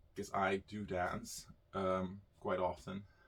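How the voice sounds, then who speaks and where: A man is speaking. He has a Dutch accent. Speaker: YouTuber. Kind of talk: personal storytelling. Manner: casual, halting with fillers.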